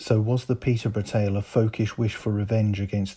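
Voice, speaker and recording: On a very clean recording with a silent background, a man speaks in a dark, mellow, somewhat breathy tone. His voice is fairly low and monotone, with flat intonation. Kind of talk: history documentary narration.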